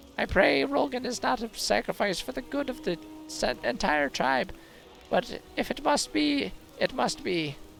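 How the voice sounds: Putting on a character voice, a man talks at a moderate pace in a high pitch with very wide pitch swings, clear music playing in the background.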